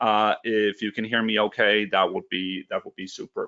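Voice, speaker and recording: The man talks at a fairly quick pace. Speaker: webinar presenter. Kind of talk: webinar tutorial. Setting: online webinar. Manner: fast.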